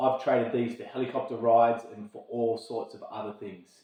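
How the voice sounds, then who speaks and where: The speaker is a man with an Australian accent. He sits at a medium pitch. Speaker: army logistics officer. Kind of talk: informational talk to camera. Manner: fast; slurred words.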